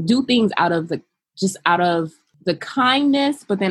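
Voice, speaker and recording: At a moderate pace, a woman with an American accent speaks with lively intonation. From US West Coast, Los Angeles. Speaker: childcare business founder and behavioral therapist. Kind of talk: interview.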